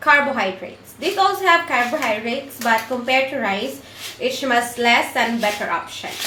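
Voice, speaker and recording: A woman's high-pitched voice with a Filipino accent, over noticeable background noise. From Philippines. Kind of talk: casual cooking tutorial to camera.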